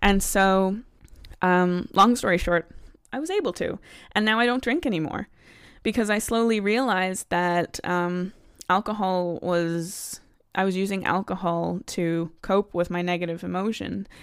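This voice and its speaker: Speaking at a fairly slow pace, a woman with an American accent uses a medium pitch and ordinary pitch variation. The recording is very clean, with a silent background. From United States. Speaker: consumer psychologist and coach. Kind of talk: podcast monologue, coaching talk. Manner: animated, enthusiastic.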